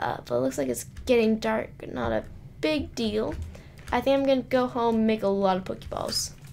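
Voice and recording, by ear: Someone reads aloud. The voice is natural.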